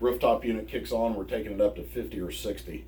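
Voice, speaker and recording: A man talks at a fairly quick pace with very wide pitch swings. Audible room echo surrounds his voice. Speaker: DIY camper owner. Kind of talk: tutorial. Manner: soft-spoken.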